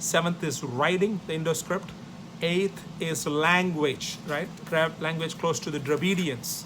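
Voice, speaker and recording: A man with a South Indian accent speaks in a high pitch at a fairly slow pace. His intonation is fairly even, and audible room echo surrounds him. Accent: South Indian (Tamil) English. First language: Tamil. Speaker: professor. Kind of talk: lecture.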